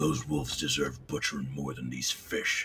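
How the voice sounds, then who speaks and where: Using a put-on character voice, a man growls in a gruff, very deep, low pitch at a moderate pace. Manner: barking, gruff.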